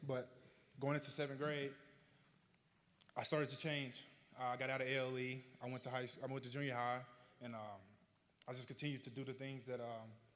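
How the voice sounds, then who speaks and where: Speaking at a fairly quick pace with long, frequent pauses, a man talks in a monotone, flat intonation at medium pitch. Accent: Southern US. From Arkansas, US South. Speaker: honoree telling his life story. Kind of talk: public speech, personal testimony. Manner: slightly slurred from retainers.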